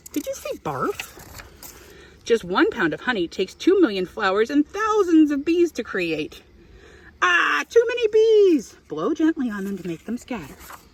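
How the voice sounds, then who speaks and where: Moderate pace over noticeable background noise. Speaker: beekeeper. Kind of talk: children's picture book read-aloud. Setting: outdoors.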